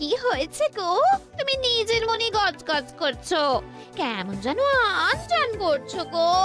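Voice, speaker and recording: In a cartoonish character voice at an extremely high pitch, a woman speaks at a fairly slow pace with clear music in the background. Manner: chatty.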